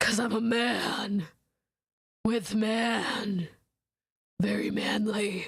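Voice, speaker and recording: A raspy, female-sounding put-on character voice, fairly high in pitch, moves at a very slow pace with long, frequent pauses. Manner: exaggerated, comically masculine.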